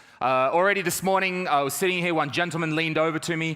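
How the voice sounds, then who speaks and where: A man with an Australian accent speaks in a fairly high pitch, his tone bright and sharp and his pitch varying in an ordinary way. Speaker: stand-up comedian. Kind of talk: stand-up.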